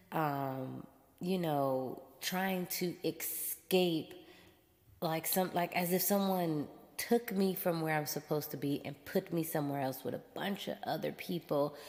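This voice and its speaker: Fairly low in pitch, a woman talks at a fairly slow pace with an animated tone and ordinary pitch variation. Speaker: podcast host. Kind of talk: casual monologue. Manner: loud.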